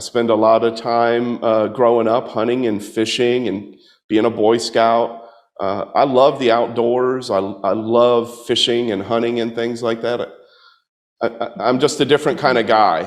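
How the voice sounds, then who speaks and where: A man with a slight Southern US accent, medium pitch, flat monotone intonation and a fairly slow pace. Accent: slight Southern twang. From US South, Tampa, Florida. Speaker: political candidate. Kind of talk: campaign talk with audience Q&A.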